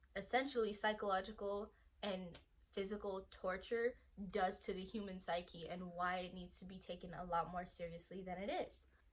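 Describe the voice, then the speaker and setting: At a moderate pace, a woman talks with a medium pitch, fairly even intonation and a somewhat breathy voice. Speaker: anime YouTuber. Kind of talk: casual talk to camera. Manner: stuttering.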